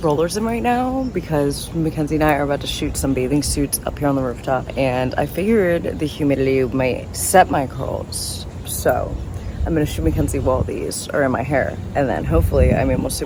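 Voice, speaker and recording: Talking at a fairly quick pace with hardly any pauses, a woman is heard through audible room echo and noticeable background noise. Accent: American. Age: 20s. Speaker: travel vlogger. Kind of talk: casual vlog talk. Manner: animated.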